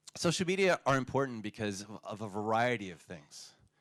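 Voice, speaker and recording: This man has a plain, everyday voice at a medium pitch, talking at a fairly quick pace with lively intonation, recorded very cleanly with a dry, close sound, no echo and a silent background. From United States. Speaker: conference speaker. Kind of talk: conference talk.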